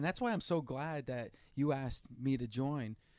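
A normal speaking voice with an American accent and ordinary pitch variation, on a very clean recording with a silent background. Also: man. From New Jersey. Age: 40s. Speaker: radio host. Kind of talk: casual interview chat.

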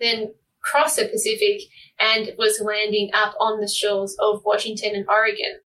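A woman speaks with an Australian accent at a fairly high pitch. Her tone is bright and sharp, and her intonation stays flat and monotone. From Tasmania, Australia. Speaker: marine plastic pollution researcher. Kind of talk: interview. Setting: remote call.

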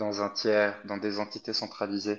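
The man speaks with a fairly low pitch, the background around him quiet. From Egypt. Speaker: crypto company employee. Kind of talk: interview.

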